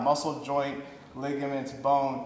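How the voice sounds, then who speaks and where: This man's voice sits fairly high. There is noticeable noise behind him. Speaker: fitness coach and podcast host. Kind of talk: casual podcast interview.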